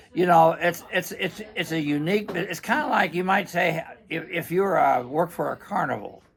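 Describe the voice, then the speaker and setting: A man with a high voice speaks at a moderate pace. Background noise is noticeable. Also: ordinary pitch variation. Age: 80s+. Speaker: vacuum repair shop owner. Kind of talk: casual interview chat. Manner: halting, many repetitions and fillers.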